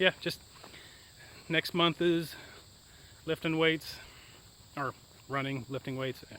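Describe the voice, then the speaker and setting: A man's fairly high voice at a very slow pace, broken by long, frequent pauses, with fairly even intonation, a dry, close sound with no echo, and noticeable background noise. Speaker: hiking vlogger. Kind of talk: casual vlog chat. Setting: outdoors on a hike.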